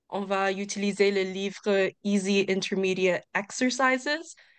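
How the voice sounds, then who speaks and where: Over a quiet background, a woman talks at medium pitch with an English accent. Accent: English-speaking accent in French. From Ontario, Canada. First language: English (speaking French). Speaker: English course instructor. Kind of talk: information session presentation.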